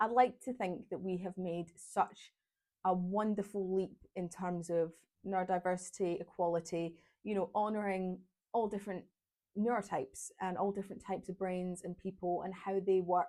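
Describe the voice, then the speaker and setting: In a Glaswegian accent, a woman with a dark, mellow tone speaks at a medium pitch and moderate pace with fairly even intonation, on a very clean recording with a silent background. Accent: Glaswegian Scottish. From Scotland, Glasgow. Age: 20s. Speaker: vlogger. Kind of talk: casual vlog monologue. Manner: chatty, talkative.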